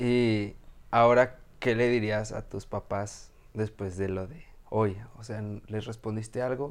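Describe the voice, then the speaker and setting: A man at a fairly low pitch and a very slow pace, with big swings in loudness. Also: fairly even intonation. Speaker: podcast host. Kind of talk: interview. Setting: video podcast.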